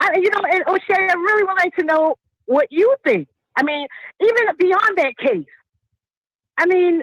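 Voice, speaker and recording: With an American accent and an extremely high pitch, a woman speaks in an animated tone with lively intonation at a moderate pace, very even loudness and long, frequent pauses, in a dry, close sound with no echo. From New York. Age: 50s. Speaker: caller. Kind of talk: call-in discussion.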